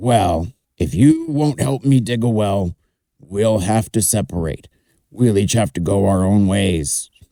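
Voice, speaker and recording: Someone uses a raspy, put-on character voice at a fairly slow pace. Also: man, fairly low pitch for a man. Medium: read story. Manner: blunt, gruff.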